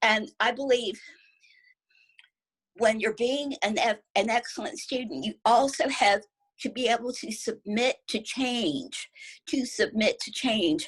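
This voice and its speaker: The pace is fairly slow, with long, frequent pauses. Pitch variation is ordinary. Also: woman, high pitch for a woman. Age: 60s. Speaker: network marketing expert. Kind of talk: interview.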